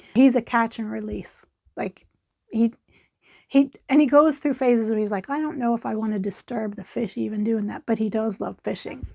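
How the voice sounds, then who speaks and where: In a very clean recording with a silent background, a voice with an American accent carries a dark, mellow tone and ordinary pitch variation. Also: woman, fairly high pitch for a woman, moderate pace. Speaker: knitting podcaster. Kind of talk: casual chat. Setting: at home near yarn stash. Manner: rambling, conversational with fillers.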